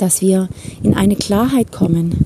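Speaking very slowly, a woman uses a medium pitch with ordinary variation. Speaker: life coach. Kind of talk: podcast monologue. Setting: outdoors, walking in a forest.

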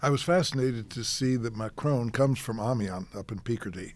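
At a moderate pace, a man with an unremarkable speaking voice talks with ordinary pitch variation. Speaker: journalist. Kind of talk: panel discussion.

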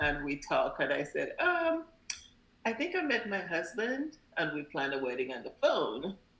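Over noticeable background noise, a woman with a fairly high voice speaks at a moderate pace, her pitch swinging very widely. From Grenada. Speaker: parent, nurse. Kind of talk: casual interview chat.

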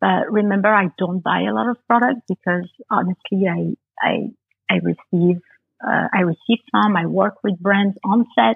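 In a Parisian accent, a woman speaks at a fairly slow pace. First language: French. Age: 30s. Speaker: makeup artist. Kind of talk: casual chat.

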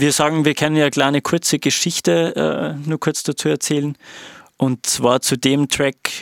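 At a moderate pace, a man with a fairly high pitch talks in a normal speaking voice with fairly even intonation, the sound dry and close with no echo. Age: 30s. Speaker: music producer and DJ. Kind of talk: casual chat.

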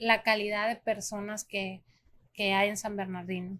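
A woman with a plain, everyday voice, a fairly high pitch, and a fairly slow pace, on a very clean recording with a silent background. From Mexico, small town. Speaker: restaurant owner. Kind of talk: podcast interview.

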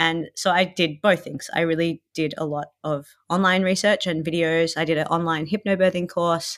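Speaking in an Australian accent, a woman with a fairly low voice talks at a moderate pace in a monotone, flat intonation, on a very clean recording with a silent background. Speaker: new mother sharing birth story. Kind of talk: interview, personal story.

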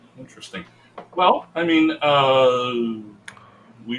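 A medium-pitched man with ordinary pitch variation over noticeable background noise. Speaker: podcast co-host. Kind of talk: casual chat. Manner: joking, laughs often.

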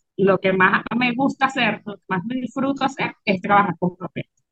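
This woman has a normal speaking voice with lively intonation. She keeps a moderate pace. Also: hardly any pauses. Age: 40s. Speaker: craft business owner. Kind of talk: interview conversation.

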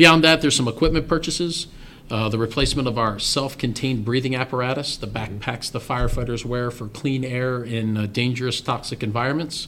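Here is a man with a normal speaking voice and an American accent. He talks at a fairly quick pace with ordinary pitch variation. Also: medium pitch for a man. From Maryland, western Carroll County. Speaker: county fire chief. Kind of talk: interview.

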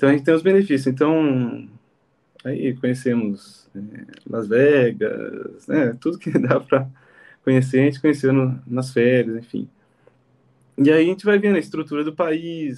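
A man's fairly high voice at a fairly slow pace, with ordinary pitch variation and long, frequent pauses. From Brazil, Jundiaí, São Paulo state. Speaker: aircraft mechanic. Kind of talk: interview.

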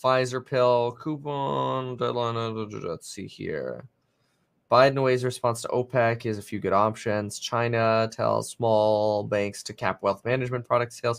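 A man with an ordinary speaking voice talks at a medium pitch and a fairly slow pace. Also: quiet background. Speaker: livestream host. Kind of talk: live market commentary stream. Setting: live stream, watching TV clips. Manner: filler-heavy, excitable.

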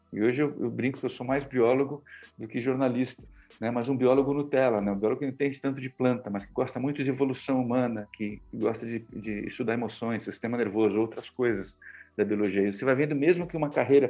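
This man has a dark, mellow tone at medium pitch. His intonation stays fairly even. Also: fairly quick pace. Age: 50s. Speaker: communication mentor and journalist. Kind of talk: interview. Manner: hesitant, many filler words.

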